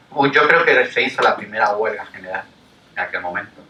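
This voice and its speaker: A man talks at medium pitch while noticeable background noise plays behind him. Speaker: labour lawyer and lecturer. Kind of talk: public lecture. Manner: hesitant.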